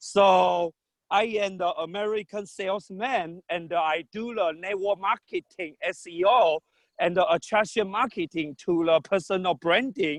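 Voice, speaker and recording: Speaking at a fairly slow pace, a man has a high pitch and ordinary pitch variation. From Taiwan. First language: not English. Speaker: salesman. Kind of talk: self-introduction at club meeting. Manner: halting.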